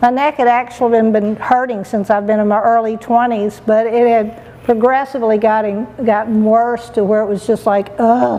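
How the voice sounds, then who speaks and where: Over noticeable background noise, a woman talks in a monotone, flat intonation with hardly any pauses. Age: 60s. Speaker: patient. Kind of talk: testimony. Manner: halting.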